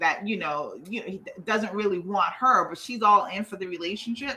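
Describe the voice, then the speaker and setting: A woman with a plain, everyday voice speaks at a moderate pace, her medium pitch showing ordinary pitch variation. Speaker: podcast co-host. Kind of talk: casual chat, reality TV recap.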